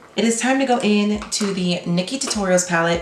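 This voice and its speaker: A woman speaks fairly quickly, with noticeable noise behind her and echo from the room audible. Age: 20s. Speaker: makeup vlogger. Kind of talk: makeup tutorial chat. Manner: deadpan.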